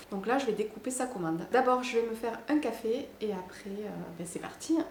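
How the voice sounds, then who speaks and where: Over noticeable background noise and audible room echo, a woman with a southern French accent talks at a moderate pace, fairly high in pitch with ordinary pitch variation. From southern France. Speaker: wedding decoration maker, small business owner. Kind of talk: casual vlog narration.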